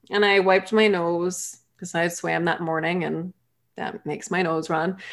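With an American accent, an unremarkable speaking voice moves at a fairly slow pace with ordinary pitch variation. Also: woman, very clean recording, silent background. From Massachusetts. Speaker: human design reader and life coach. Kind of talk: interview conversation.

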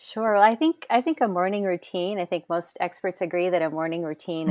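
A woman with an American accent and a plain, everyday voice speaks fairly quickly at a fairly low pitch with ordinary pitch variation, the recording dry and close with no echo over a quiet background. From US Northeast, Rhode Island. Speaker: habits coach and social worker. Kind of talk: podcast interview.

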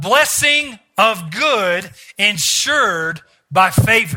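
With music in the background, a raised, projected voice carries lively intonation. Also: man. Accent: American. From US South. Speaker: visiting preacher. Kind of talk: sermon; fervent closing prayer and blessing declaration over the congregation. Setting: church service with congregation. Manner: rhythmic, repetitive declarations with call-and-response prompts to the crowd.

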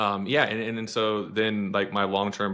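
A man with a bright, sharp tone and fairly low pitch speaks at a moderate pace in a very clean recording with a silent background. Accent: American. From Texas (Austin). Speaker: podcast co-host with lived experience of addiction. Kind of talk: personal testimony in interview. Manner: halting, many fillers and restarts.

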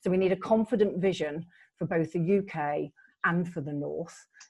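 A woman with an ordinary speaking voice, fairly low in pitch. She keeps a moderate pace with ordinary pitch variation. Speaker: LEP chair. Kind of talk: moderated panel discussion. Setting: video call.

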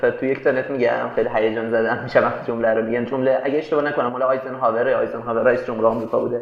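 A man at a very fast pace, animated in tone, with audible room echo and noticeable background noise. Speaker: tech startup co-founder and CTO. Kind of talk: interview conversation. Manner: casual, animated.

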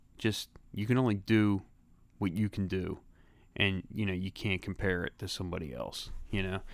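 On a very clean recording with a silent background, a man with a Philadelphia accent and a fairly low pitch speaks at a fairly quick pace with ordinary pitch variation. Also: long, frequent pauses. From Philadelphia, Grays Ferry. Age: 40s. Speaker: guest, old school friend. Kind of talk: casual chat.

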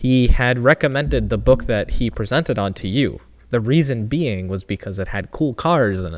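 A man with a normal speaking voice talks at medium pitch and a moderate pace, his intonation lively and hardly any pauses. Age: 20s. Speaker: podcast co-host, engineering PhD student. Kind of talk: casual chat. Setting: home garage.

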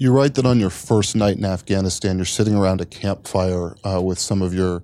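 The man's tone is dark and mellow. He talks in an American accent. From Washington, D.C. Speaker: political reporter. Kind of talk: onstage interview. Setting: bookstore stage with audience.

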